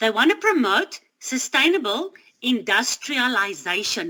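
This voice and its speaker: A woman speaks in a high, raised, projected voice with a bright, sharp tone. Her pitch swings very widely. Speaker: Bible study teacher. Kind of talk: Bible study talk.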